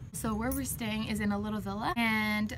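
The woman talks at a moderate pace with light background noise behind her. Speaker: travel vlogger. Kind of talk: casual vlog chat. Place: garden. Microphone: phone near.

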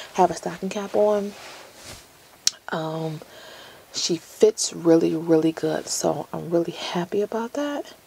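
This woman talks fairly slowly with a fairly low pitch and lively intonation. Light background noise can be heard. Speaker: beauty vlogger. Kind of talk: casual vlog chat, wig review. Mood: playful, joking. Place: office.

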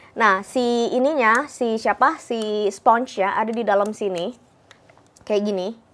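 A woman with an unremarkable speaking voice and a fairly high pitch talks at a fairly slow pace with ordinary pitch variation. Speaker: beauty vlogger. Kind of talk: product review. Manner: casual, filler-heavy. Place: home room. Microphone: new microphone, sounds tinny; lapel.

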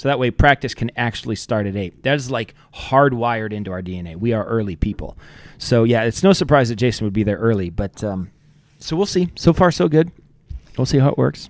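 The sound is dry with no echo as a man talks at a fairly quick pace. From Ohio. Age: 40s. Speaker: podcast host. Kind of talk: casual chat. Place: studio. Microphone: studio mic.

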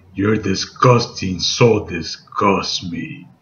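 A man puts on a character voice with a menacing tone. He speaks very slowly at a medium pitch. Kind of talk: tutorial.

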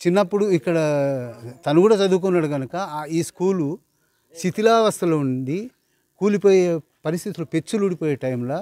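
A man with a high-pitched voice, a dark, mellow tone and ordinary pitch variation, recorded with a dry sound and no echo. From Telangana, Mahabubnagar district; Telangana. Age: 60s. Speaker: village elder; interviewee. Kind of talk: interview. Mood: praising, earnest. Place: street. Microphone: handheld.

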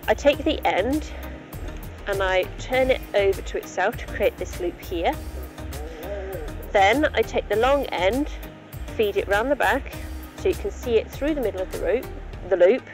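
Clear music plays in the background as a woman speaks at a moderate pace. She takes long, frequent pauses. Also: dry sound with no echo. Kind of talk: tutorial. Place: open country. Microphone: phone near.

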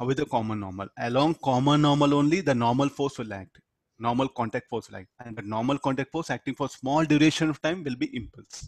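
At a very fast pace, a man with an Indian accent speaks at a medium pitch. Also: ordinary pitch variation, dry, close sound with no echo. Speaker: physics teacher. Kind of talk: lecture. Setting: video call. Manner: interactive, asks students questions.

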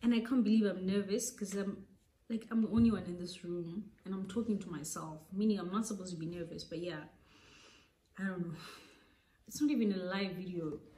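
Speaking at a fairly quick pace with long, frequent pauses, a woman has a somewhat breathy, dark, mellow voice at medium pitch, ordinary pitch variation and big swings in loudness, with audible room echo. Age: 20s. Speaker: vlogger. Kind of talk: casual vlog monologue. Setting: alone in a room. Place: home room. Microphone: phone near.

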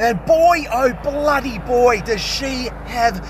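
The delivery comes at a very slow pace with ordinary pitch variation. Noticeable background noise sits in a dry sound with no echo. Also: man. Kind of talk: casual vlog commentary. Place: garden. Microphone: phone near.

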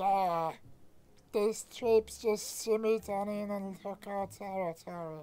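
A put-on character voice sits at a middle pitch on a very clean recording with a silent background. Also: fairly slow pace. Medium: game stream.

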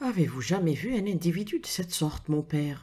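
A woman speaks at a moderate pace in a dramatic, dark and mellow tone, somewhat breathy, with a fairly low pitch and lively intonation. The recording is very clean, with a silent background. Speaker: audiobook narrator. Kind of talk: reading aloud a detective story with character voices. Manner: dramatic, suspenseful narration with atmospheric pacing.

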